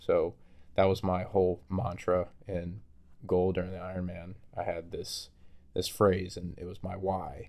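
Speaking in a very deep, low pitch with monotone, flat intonation, a man pauses long and often while his loudness swings widely. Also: fairly slow pace. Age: 20s. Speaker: podcast co-host. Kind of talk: casual chat.

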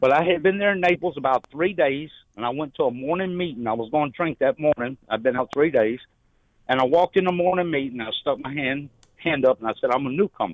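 With a Southern US accent, a man talks very fast at a fairly high pitch and with lively intonation. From Louisiana, Shreveport. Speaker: caller in recovery. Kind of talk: testimony.

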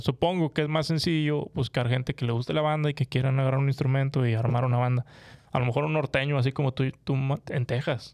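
A man talks at a very fast pace and medium pitch, with fairly even intonation and very even loudness. The sound is dry and close, with no echo. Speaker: podcast co-host. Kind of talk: casual chat. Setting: studio.

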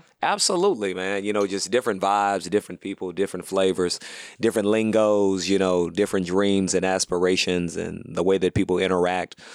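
A man with a very deep, low pitch speaks in an American accent at a fairly quick pace. His delivery is monotone and flat, with a dry, close sound and no echo. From US South, Houston, Texas. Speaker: comedian. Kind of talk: casual chat.

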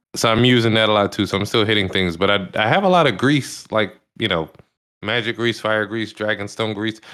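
This is a normal speaking voice from a man with a fairly low pitch. He talks at a fairly quick pace with ordinary pitch variation. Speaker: podcast co-host. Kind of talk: casual chat.

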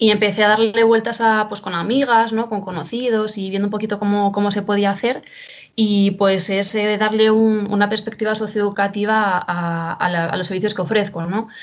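The speaker is a woman at medium pitch. She talks at a moderate pace with monotone, flat intonation. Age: 20s. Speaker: social educator and professional makeup artist. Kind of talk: casual interview.

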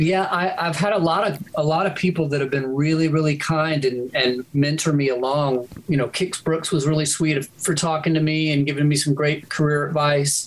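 Amid noticeable background noise, a man talks at a moderate pace with a fairly high pitch, fairly even intonation, very even loudness and hardly any pauses. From Louisiana, Shreveport. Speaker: music producer. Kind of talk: casual chat.

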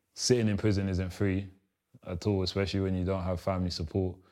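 A man with a London accent speaks very fast in a monotone, his pitch very deep and low and his tone dark and mellow. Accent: London multicultural English. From South East London (Lewisham), arrived from Congo as a young child. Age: 20s. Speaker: former gang member, ex-prisoner. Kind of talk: interview, personal life story. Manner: casual, frequent fillers.

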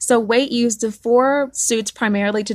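Recorded dry and close with no echo, a woman speaks with a Southern US accent. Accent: Southern American. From US South. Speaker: podcast host. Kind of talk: solo podcast monologue, partly read.

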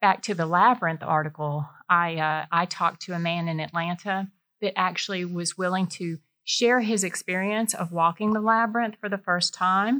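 A woman with a Georgia accent speaks at medium pitch in a bright, sharp tone, on a very clean recording with a silent background. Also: ordinary pitch variation, moderate pace. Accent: US Southern (Georgia). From Middle Georgia (Warner Robins). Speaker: freelance writer and former engineer. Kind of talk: interview conversation. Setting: in person studio.

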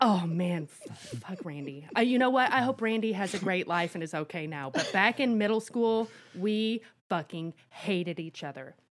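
A plain, everyday voice from a woman, medium in pitch, with lively intonation at a moderate pace. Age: 40s. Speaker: podcast co-host. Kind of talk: casual chat. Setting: video call.

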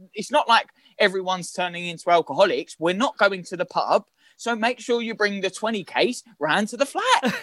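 A man speaks with a high pitch and a bright, sharp tone. The sound is dry and close, with no echo. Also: ordinary pitch variation. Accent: London. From London, Islington. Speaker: actor. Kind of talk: casual chat. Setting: video call. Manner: fast; animated.

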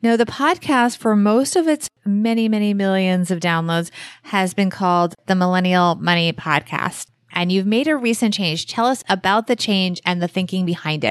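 Against a quiet background, a woman speaks in a normal speaking voice at a medium pitch and a moderate pace, with ordinary pitch variation and very even loudness. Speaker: podcast host. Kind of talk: podcast episode with guest interview.

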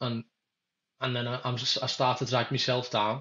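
A man in a Liverpool accent, with monotone, flat intonation. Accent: Scouse (Liverpool). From Merseyside, England (Kirkby, Liverpool area). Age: 20s. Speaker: merchant navy engineer. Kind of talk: casual chat.

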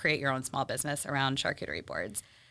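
A woman speaks with an American accent and a bright, sharp tone. The recording is very clean, with a silent background. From Texas. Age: 30s. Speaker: charcuterie business owner. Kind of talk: casual interview.

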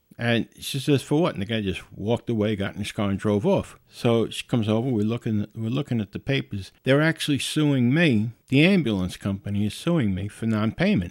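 A man with a plain, everyday voice of medium pitch talks at a fairly quick pace with lively intonation and hardly any pauses, in a very clean recording with a silent background and a dry, close sound with no echo. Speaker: podcast host. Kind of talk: solo podcast monologue, casual. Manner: casual, chatty.

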